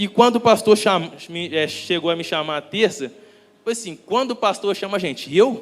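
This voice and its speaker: At a moderate pace, a man talks with a high pitch. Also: ordinary pitch variation. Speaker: preacher. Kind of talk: sermon. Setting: church. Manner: halting.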